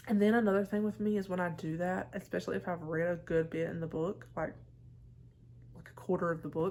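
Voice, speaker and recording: With a Southern US accent, a woman talks at a fairly quick pace, her pitch fairly low and its variation ordinary. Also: big swings in loudness. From US South. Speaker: book vlogger. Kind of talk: casual chat.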